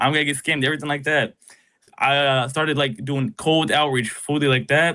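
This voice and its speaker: The man's voice is pitched fairly high, and he rushes along at a very fast pace. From Tennessee, Nashville. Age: 20s. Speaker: entrepreneur, mentorship student. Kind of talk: interview. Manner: casual, animated.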